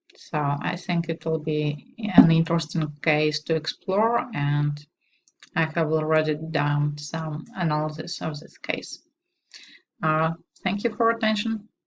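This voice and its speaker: A woman's somewhat breathy, very deep, low voice in a Russian accent, at a fairly slow pace with ordinary pitch variation. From Belarus. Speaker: doctoral student. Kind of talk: self-introduction. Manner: hesitant, with filler sounds.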